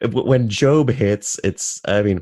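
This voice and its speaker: In an American accent, a man talks at a fairly slow pace with lively intonation in an unremarkable speaking voice, against a quiet background. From US South. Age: 30s. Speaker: podcast host. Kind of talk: casual interview chat.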